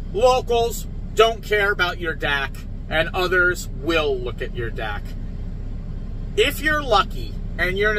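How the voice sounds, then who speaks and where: A fairly slow pace, with a dry sound with no echo and light background noise. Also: man. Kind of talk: casual vlog chat. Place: car. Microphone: phone near.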